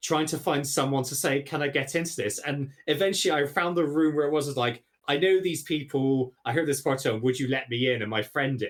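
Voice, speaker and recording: A man with a Bristolian accent, fairly high pitch and ordinary pitch variation, at a fairly quick pace with hardly any pauses. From England, Bristol. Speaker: podcast guest, stream host. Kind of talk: casual chat.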